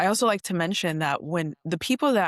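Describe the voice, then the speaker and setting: A normal speaking voice from a woman with an American accent, fairly low in pitch, at a moderate pace and with ordinary pitch variation, in dry, close sound with no echo over a quiet background. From Oregon, US. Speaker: social media advocate. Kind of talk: interview conversation. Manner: casual, filler-heavy.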